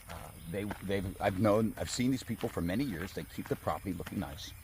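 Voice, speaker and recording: This man has a very deep, low voice that is somewhat breathy, with ordinary pitch variation. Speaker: land salesman. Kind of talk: property walkthrough video. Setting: outdoors.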